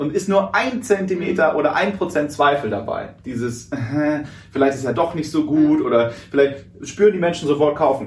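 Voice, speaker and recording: The voice has lively intonation, and room echo is audible. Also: man. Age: 20s. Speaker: radio host and speaker. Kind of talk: casual interview.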